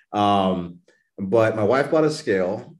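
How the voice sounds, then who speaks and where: An unremarkable speaking voice with an American accent talks at a moderate pace against a quiet background. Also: man. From Texas, New Braunfels. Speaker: fitness coach and weight-loss story guest. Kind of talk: casual interview.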